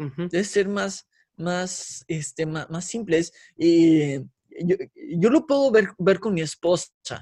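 In a Guadalajara accent, the speaker talks very slowly with a dark, mellow tone and ordinary pitch variation. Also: man. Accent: Mexican Spanish, Guadalajara. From Mexico, Guadalajara. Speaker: former worship leader. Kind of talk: casual interview. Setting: video call.

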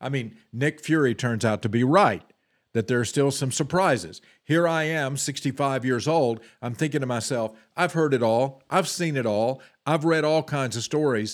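A man with a plain, everyday voice at a medium pitch, ordinary pitch variation, on a very clean recording with a silent background. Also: fairly slow pace. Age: 60s. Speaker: political talk show host. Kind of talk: political commentary. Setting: studio, streamed live.

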